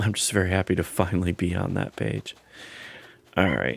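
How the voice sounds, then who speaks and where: A man puts on a character voice, raspy and very deep in pitch. He speaks at a moderate pace. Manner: happy, relieved.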